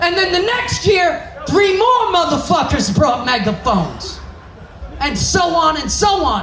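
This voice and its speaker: An animated tone in a New York accent at a fairly slow pace, with noticeable background noise. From New York (Brooklyn). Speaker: stand-up comedian. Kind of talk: stand-up. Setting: stage with audience. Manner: loud, animated.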